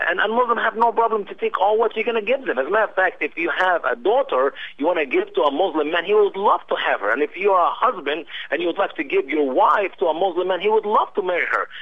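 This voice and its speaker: Speaking at a very fast pace with hardly any pauses, a man talks in an Arabic accent. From Egypt. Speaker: missionary. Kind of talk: radio interview. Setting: internet radio show. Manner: halting, many fillers.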